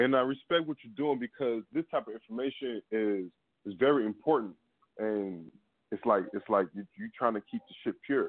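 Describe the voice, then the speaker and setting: A man speaks in a normal speaking voice at medium pitch. His loudness swings widely. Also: ordinary pitch variation, moderate pace. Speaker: caller. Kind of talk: casual phone conversation. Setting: phone call.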